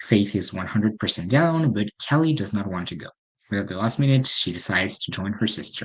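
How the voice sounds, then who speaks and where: A man with a French accent, fairly low pitch, ordinary pitch variation and a fairly quick pace. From France. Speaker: podcast host, film reviewer. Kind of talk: casual solo review podcast. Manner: hesitant, filler-heavy (um, uh).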